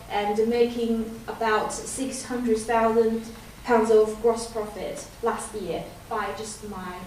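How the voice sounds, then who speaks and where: Speech in a Chinese accent comes at a very slow pace, with audible room echo and noticeable background noise. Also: woman. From China. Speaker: business owner and speaker. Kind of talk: business presentation.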